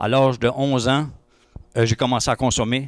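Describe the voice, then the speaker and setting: A man with an Acadian accent speaks at a fairly slow pace in a very clean recording with a silent background and a dry, close sound with no echo. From Acadia (New Brunswick, Madawaska). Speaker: testimony speaker at church breakfast. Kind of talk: testimony. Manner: hesitant, many fillers.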